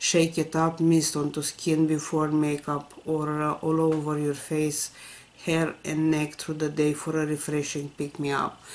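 A woman speaks at a fairly slow pace with a very deep, low pitch and monotone, flat intonation. Noticeable background noise is present. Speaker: beauty vlogger. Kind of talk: unboxing video. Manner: casual, uses many fillers.

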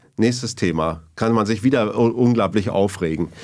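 The delivery is fairly slow, with ordinary pitch variation, over a quiet background. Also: man. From East Germany (GDR). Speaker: sociologist and professor; professor. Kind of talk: long-form interview. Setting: studio. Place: studio. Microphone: studio mic.

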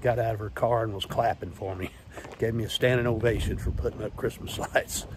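Fairly quick speech with fairly even intonation comes through a dry sound without echo, with noticeable background noise. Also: man. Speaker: fitness vlogger. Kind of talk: casual vlog chat. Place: street. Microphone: earbuds.

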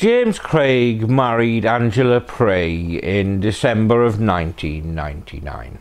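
Very slow speech from a man with lively intonation. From UK. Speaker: true crime channel host. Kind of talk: scripted narration. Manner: sardonic.

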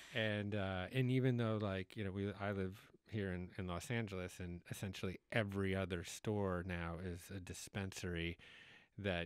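A man with a plain, everyday voice speaks at a moderate pace and fairly low pitch, the sound dry with no echo and the background quiet. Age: 40s. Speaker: podcast host. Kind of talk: interview conversation. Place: studio. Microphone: studio mic.

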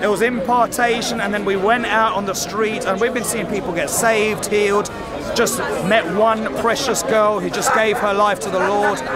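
Music plays in the background as the voice moves at a moderate pace, the sound dry with no echo. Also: man, high pitch for a man. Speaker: street evangelist. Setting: outdoors on a busy city street. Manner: emphatic and repetitive, saying each prayer phrase twice so the crowd can echo it; fervent, rising, call-and-response cadence. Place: street.

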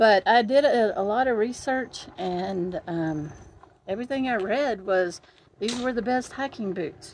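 Over light background noise, a woman talks at a fairly slow pace with lively intonation. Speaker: gear reviewer. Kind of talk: casual vlog chat. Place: open country. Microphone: lapel.

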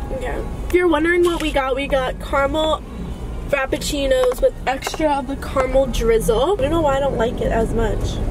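Woman at a fairly quick pace with ordinary pitch variation, music playing in the background. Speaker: vlogger. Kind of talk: casual vlog chat. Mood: relaxed, upbeat. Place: car. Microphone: phone near.

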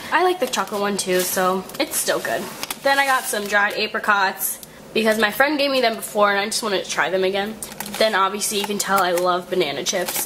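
Against noticeable background noise, a woman talks at a fairly quick pace and medium pitch with ordinary pitch variation. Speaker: college vlogger. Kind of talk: casual vlog. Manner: animated.

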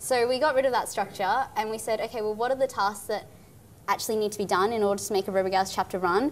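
Speaking at a very fast pace, a woman with an Australian accent holds a fairly high pitch and fairly even intonation. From Far North Queensland, Australia. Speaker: engineer and nonprofit founder. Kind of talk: interview. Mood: cheerful, animated. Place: studio.

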